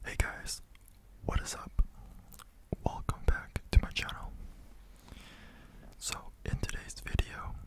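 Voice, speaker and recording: A man whispers with long, frequent pauses. His loudness swings widely. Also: fairly slow pace. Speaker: ASMR creator. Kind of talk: ASMR whisper talk to camera. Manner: whispered; slow. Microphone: studio mic.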